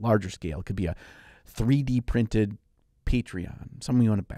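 Recorded with a dry sound and no echo, a man speaks against a quiet background. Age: 40s. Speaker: miniature painting podcast co-host and YouTuber; miniature painting podcast co-host, YouTuber. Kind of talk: casual chat. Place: studio. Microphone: studio mic.

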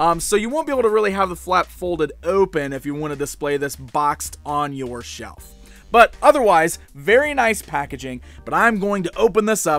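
Faint music plays behind a man who speaks at a moderate pace with big swings in loudness, the sound dry with no echo. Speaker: toy reviewer. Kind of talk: product review commentary. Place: studio.

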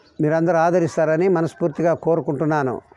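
Against a quiet background, a man talks at a high pitch with monotone, flat intonation. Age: 70s. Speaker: home cook and gardener. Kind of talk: channel introduction to camera. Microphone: lapel.

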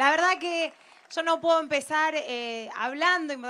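Using a raised, projected voice, a woman speaks at a fairly slow pace. Her intonation is fairly even, with light background noise. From Argentina, Rosario; Argentina. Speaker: economist and political activist; speaker. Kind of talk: political rally speech. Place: waterside. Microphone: handheld.

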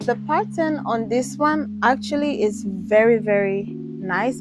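A woman speaks with clear music in the background, the sound dry with no echo. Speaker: sourcing vlogger. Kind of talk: casual vlog chat. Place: shop. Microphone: lapel.

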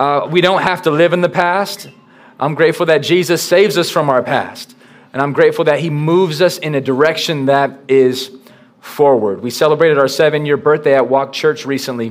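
A man's voice with ordinary pitch variation at a fairly quick pace. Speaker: pastor. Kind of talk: sermon. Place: church.

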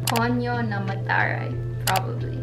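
A woman at a moderate pace amid loud background noise. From Manila, Philippines. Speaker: vlogger. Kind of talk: casual talk to camera. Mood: cheerful, relaxed. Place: home room.

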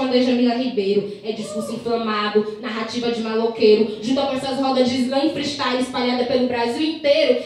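A woman's high voice with ordinary pitch variation in strong room echo. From Maranhão, Northeast Brazil. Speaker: slam poet. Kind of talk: slam poetry performance. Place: bar.

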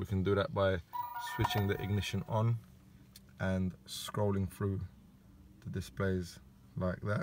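A man's fairly low voice at a very slow pace, with fairly even intonation, a dry sound with no echo and music in the background. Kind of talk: tutorial. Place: car. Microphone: phone near.

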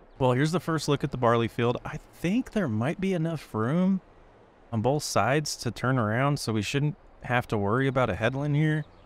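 At a moderate pace, a man talks with an unremarkable speaking voice and a fairly high pitch. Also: lively intonation. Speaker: gaming YouTuber. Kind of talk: gameplay commentary. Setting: recorded gameplay at computer. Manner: narrating while playing.

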